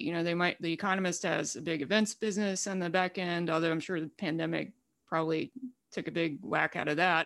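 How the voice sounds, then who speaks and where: A woman with an American accent talks at a fairly quick pace and a fairly low pitch. The recording is very clean, with a silent background. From Alabama, Wetumpka. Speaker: media editor and founder. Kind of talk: casual interview.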